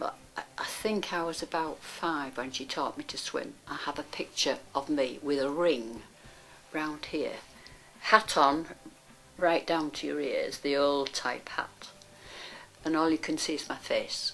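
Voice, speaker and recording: With a Yorkshire accent, a woman speaks at a very deep, low pitch. Her pace is fairly slow, with long, frequent pauses. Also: ordinary pitch variation. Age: 80s+. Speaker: volunteer swimming coach. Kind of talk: interview testimony.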